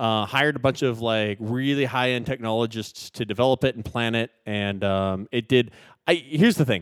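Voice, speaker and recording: A man with an American accent and an unremarkable speaking voice, medium pitch and ordinary pitch variation, in a very clean recording with a silent background and a dry, close sound with no echo. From US West Coast. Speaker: tech podcast co-host. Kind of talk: casual chat.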